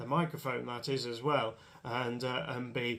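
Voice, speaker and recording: A man with an English accent, medium pitch, fairly even intonation and a moderate pace. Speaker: motorsport commentator. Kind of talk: casual monologue to camera. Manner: hesitant, many fillers.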